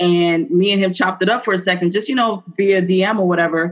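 In an ordinary speaking voice, a woman at a medium pitch talks at a moderate pace with ordinary pitch variation. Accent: American. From New Jersey. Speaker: business owner. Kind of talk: interview. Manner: casual, with many fillers.

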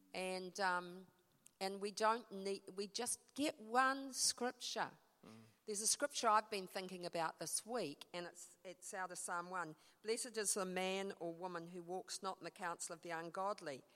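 At a moderate pace, a woman talks with a New Zealand accent. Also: medium pitch for a woman, ordinary pitch variation. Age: 60s. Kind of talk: talk in church, conversational. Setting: church with audience.

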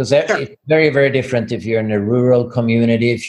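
A man speaks with a Swedish accent. His pitch is medium. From Sweden. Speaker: physician and business owner. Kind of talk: interview. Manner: halting, repeats words.

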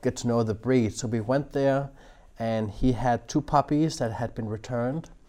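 A man with a Danish accent speaks at a moderate pace in a dark, mellow tone. The background is quiet. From Denmark. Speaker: dog trainer. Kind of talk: interview.

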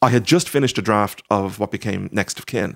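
Here a man speaks in a Dublin accent with ordinary pitch variation. The recording is very clean and dry, close with no echo and a silent background. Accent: Dublin Irish. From Ireland, Dublin (Sandyford). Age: 40s. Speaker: novelist. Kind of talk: casual interview. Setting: at his home. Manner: halting, many fillers.

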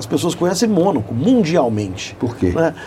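Noticeable background noise sits behind a man whose fairly high pitch swings very widely. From Belo Horizonte, Brazil. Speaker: motorsport event organizer, company CEO. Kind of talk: radio interview. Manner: hesitant, many fillers.

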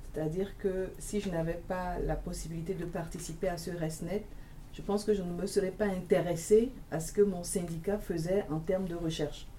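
A woman's fairly low voice at a fairly quick pace, with fairly even intonation and audible room echo. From Togo. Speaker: university teacher union member. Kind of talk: panel discussion. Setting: studio.

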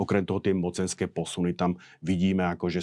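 Very deep, low male voice, monotone and flat, at a fairly quick pace over a quiet background. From Slovakia. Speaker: military analyst. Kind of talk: interview discussion. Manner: halting.

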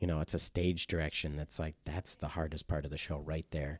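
A man's very deep, low voice in an Upper Midwest accent, monotone and flat in intonation, at a moderate pace, with a dry, close sound and no echo. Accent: Upper Midwest American. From Wisconsin, Mount Horeb near Madison. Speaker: stage actor. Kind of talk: interview conversation.

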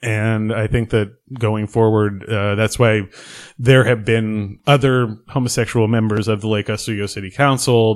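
A man with an American accent talks in a normal speaking voice at medium pitch and a moderate pace, his intonation fairly even. The recording is very clean, with a silent background. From Oregon. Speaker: local politician. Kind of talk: podcast interview.

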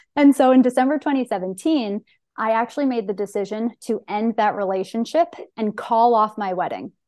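The speaker's tone is bubbly and animated. The pitch varies in an ordinary way. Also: woman, fairly high pitch for a woman, fairly quick pace. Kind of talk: casual interview chat. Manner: high energy, bubbly, animated.

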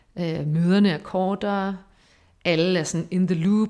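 With a fairly low pitch, a woman speaks in a monotone, flat intonation. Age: 30s. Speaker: research assistant and lecturer. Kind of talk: casual interview.

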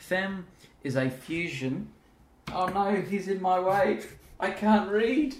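Speaking at a very slow pace with long, frequent pauses, a man with a high pitch uses lively intonation. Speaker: podcast host. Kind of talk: casual interview. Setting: at guest's home.

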